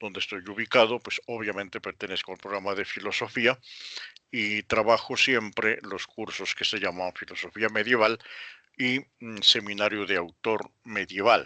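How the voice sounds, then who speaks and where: A bright, sharp tone holds a monotone, flat intonation at a moderate pace, with big swings in loudness. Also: man, fairly low pitch for a man. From Colombia, Pasto (Nariño). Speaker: university professor of philosophy. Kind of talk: lecture introduction. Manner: halting, with fillers.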